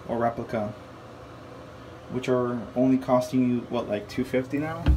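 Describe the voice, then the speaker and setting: A man's medium-pitched voice in monotone, flat intonation at a moderate pace, with audible room echo. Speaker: sneaker reviewer. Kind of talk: casual product review. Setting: in a bathroom. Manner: murmuring a little; casual, filler-heavy.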